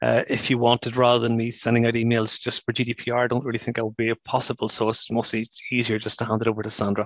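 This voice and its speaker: A man with a Northern Irish accent speaks very fast in a monotone, flat intonation at a medium pitch, the sound dry and close with no echo against a quiet background. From Northern Ireland. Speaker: brain injury charity former director and survivor. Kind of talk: webinar presentation.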